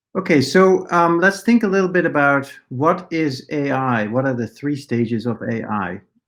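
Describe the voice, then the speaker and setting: Speaking fairly slowly with lively intonation, a man with a Dutch accent uses a fairly high pitch on a very clean recording with a silent background. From Netherlands. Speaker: AI researcher and professor. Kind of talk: conference talk. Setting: conference presentation. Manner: many filler words (uh, um).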